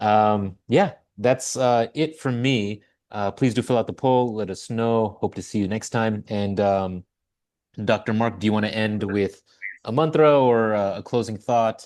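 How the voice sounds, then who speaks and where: At a fairly slow pace, a plain, everyday voice speaks with ordinary pitch variation against a quiet background. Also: man, medium pitch for a man. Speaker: webinar host. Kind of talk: webinar closing remarks.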